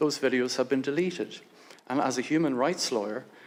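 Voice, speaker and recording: With an Irish accent, a man speaks at a medium pitch with fairly even intonation. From Ireland. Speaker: lawyer and human rights advocate. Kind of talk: prepared speech at a hearing. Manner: formal.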